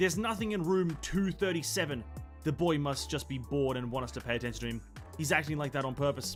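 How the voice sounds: Over background music, a man does a put-on character voice that is hoarse and fairly high, racing at a very fast pace with lively intonation.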